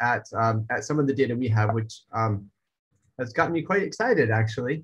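A somewhat breathy man speaks at a fairly quick pace over a quiet background. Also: ordinary pitch variation. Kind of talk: lecture. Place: home room. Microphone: webcam.

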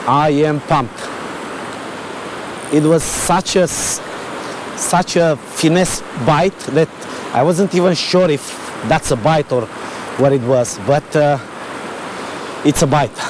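With faint background noise behind him, a man speaks slowly in a fairly high pitch, using ordinary pitch variation and long, frequent pauses.

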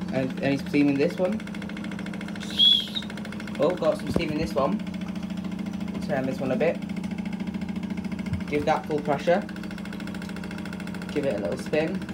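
Over loud background noise, the speaker keeps a moderate pace broken by long, frequent pauses. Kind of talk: casual commentary. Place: workshop. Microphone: phone near.

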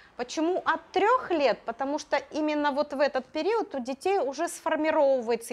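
The woman talks at a moderate pace, her intonation lively. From Russia, Urals (Magnitogorsk); Russia. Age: 50s. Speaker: Russian language teacher for children. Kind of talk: interview. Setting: classroom. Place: classroom. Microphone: lapel.

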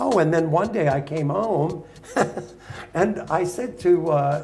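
Faint music plays in the background as a man speaks very slowly in a New York accent. His pitch is high, with ordinary pitch variation. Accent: New York American. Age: 80s+. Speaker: dog show judge. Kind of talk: interview answer, storytelling to live audience. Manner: humorous, outspoken. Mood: animated, humorous storytelling. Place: hall.

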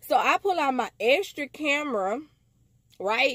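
An animated tone comes through a dry sound with no echo and a quiet background. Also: woman. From US. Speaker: vlogger telling a story. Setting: self-recorded video. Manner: excitable, incredulous, emphatic repetition. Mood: amused, incredulous. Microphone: phone near.

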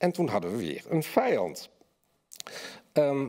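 A man's dark, mellow voice with vocal fry and very wide pitch swings over a quiet background. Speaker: essayist and journalist. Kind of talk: lecture reading and panel discussion. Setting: stage with audience. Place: hall. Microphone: podium.

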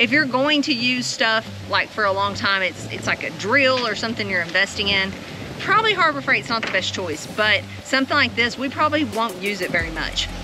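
A woman at a fairly quick pace, in a dry sound with no echo and noticeable background noise. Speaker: farm vlogger. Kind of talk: casual vlog chat. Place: farm machine. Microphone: phone near.

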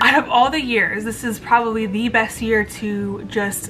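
There is light background noise behind the woman speaking. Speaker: lifestyle vlogger. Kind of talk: casual vlog chat. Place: home room. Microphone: phone near.

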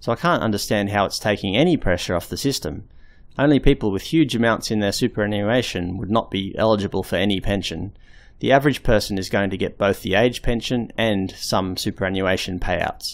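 In a very clean recording with a silent background, a man with an Australian accent speaks at a fairly quick pace in a fairly low pitch. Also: ordinary pitch variation. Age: 30s. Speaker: video blogger. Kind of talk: scripted narration.

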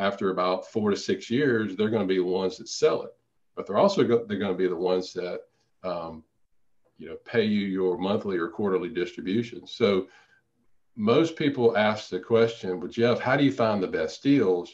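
A man with a Louisiana accent speaks at a moderate pace in a fairly low voice, with ordinary pitch variation over a quiet background. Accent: Southern US (Louisiana). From Louisiana, small town. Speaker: periodontist and real estate investor. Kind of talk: interview.

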